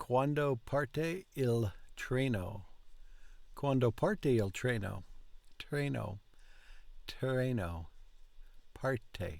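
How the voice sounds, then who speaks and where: Speaking at a very slow pace with long, frequent pauses, a man uses lively intonation at a medium pitch. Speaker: language learner vlogger. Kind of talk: language practice repetition. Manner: slow, in fits and starts; halting, repetitive.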